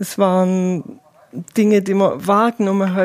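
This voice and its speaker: Dark, mellow tone from a woman, very slow and monotone with flat intonation, in a dry, close sound with no echo. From Swabia, southern Germany (Eislingen). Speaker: volunteer pilgrim companion. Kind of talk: interview.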